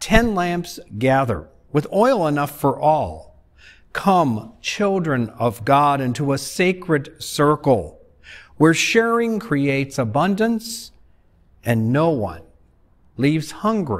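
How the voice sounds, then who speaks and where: A quiet background sits behind the voice. The delivery is very slow. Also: man. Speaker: pastor leading worship. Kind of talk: liturgical reading. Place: church.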